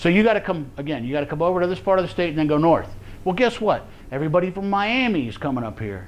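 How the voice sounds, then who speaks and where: In an American accent, a man speaks with a high pitch and lively intonation, and audible room echo surrounds his voice. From Florida. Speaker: survival preparedness instructor. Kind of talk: class lecture. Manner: casual, halting with repetitions.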